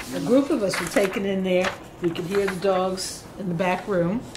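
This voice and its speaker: At a moderate pace and with fairly even intonation, the speech comes through audible room echo and noticeable background noise. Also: woman. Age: 60s. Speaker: former volunteer teacher. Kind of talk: group reminiscence. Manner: casual.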